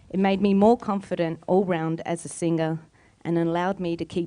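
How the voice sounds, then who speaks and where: A woman with an Australian accent talks at a moderate pace and fairly low pitch, her tone dark and mellow and her intonation monotone and flat. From Australia, Palestinian heritage. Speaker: singer and storyteller. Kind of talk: storytelling performance.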